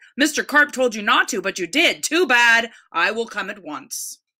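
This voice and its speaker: Someone performs a put-on character voice at a moderate pace. The pitch swings very wide. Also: woman, high pitch for a woman. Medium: read story.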